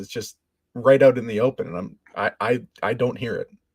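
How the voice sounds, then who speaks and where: A man with a slight Canadian accent speaks at a moderate pace in a dry, close sound with no echo. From Canada. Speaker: podcast guest. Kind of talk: casual chat.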